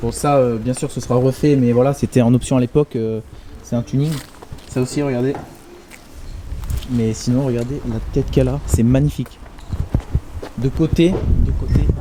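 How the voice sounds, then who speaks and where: A man with a medium pitch talks at a moderate pace over noticeable background noise. He leaves long, frequent pauses. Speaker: car vlogger. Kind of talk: casual vlog. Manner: animated, stammering.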